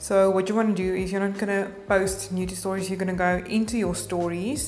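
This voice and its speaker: At a moderate pace, a woman speaks with fairly even intonation. Light background noise can be heard. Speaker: social media tutorial maker. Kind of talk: tutorial. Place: home room.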